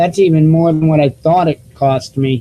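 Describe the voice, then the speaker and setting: Dry and close with no echo, the voice has a dark, mellow tone, sounds somewhat breathy, and moves at a fairly slow pace. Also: man. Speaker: alternative news show host. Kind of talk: live online news show, casual talk to viewers. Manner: halting, many fillers and repeats. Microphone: cheap desktop microphone.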